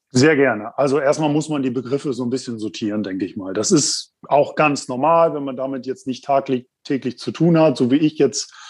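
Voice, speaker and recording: A man with an unremarkable speaking voice, medium pitch and ordinary pitch variation, at a fairly quick pace over a quiet background. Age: 30s. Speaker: insurance specialist. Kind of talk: explanatory interview.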